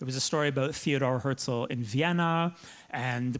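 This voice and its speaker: On a very clean recording with a silent background, a man with a Canadian accent and an unremarkable speaking voice talks at medium pitch and a moderate pace with fairly even intonation. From Toronto, Canada. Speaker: journalist and author. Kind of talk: lecture. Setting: stage with audience.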